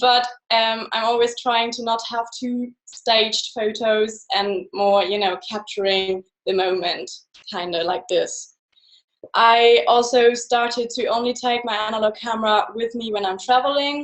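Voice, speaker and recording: A woman with a German accent speaks at a fairly slow pace in a fairly high voice, her pitch varying in an ordinary way. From Germany. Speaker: photographer. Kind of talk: presentation.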